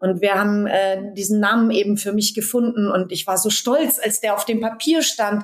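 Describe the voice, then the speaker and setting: With a plain, everyday voice, a woman speaks at a medium pitch and moderate pace with fairly even intonation. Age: 40s. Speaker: dance and movement coach. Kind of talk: interview conversation.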